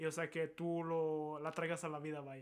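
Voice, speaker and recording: This man's voice sits fairly high. He delivers his words in a monotone with flat intonation. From Monterrey, northern Mexico. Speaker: film student. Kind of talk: casual chat.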